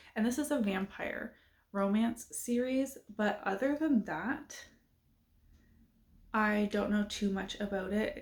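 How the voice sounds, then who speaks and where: A woman's fairly high, somewhat breathy voice at a very slow pace, with ordinary pitch variation, very even loudness and long, frequent pauses. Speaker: booktuber. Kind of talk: casual chat.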